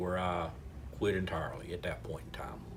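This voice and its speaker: A man with a North Carolina accent talks at a moderate pace, his voice somewhat breathy, with audible room echo. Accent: Southern US (North Carolina). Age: 60s. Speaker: local party chairman, retired paramedic. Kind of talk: interview. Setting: restaurant.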